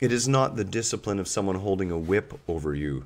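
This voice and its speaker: A man's lively intonation in a very clean recording over a silent background. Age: 50s. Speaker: yoga teacher. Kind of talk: live stream talk. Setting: live video stream. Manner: animated.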